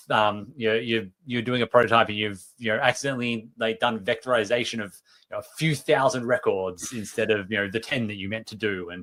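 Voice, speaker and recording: A man speaks with an Australian accent at a medium pitch, his tone bright and sharp. The pace is fairly quick, with hardly any pauses. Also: fairly even intonation, big swings in loudness. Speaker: software developer advocate. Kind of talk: tech livestream talk. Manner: hesitant, many fillers.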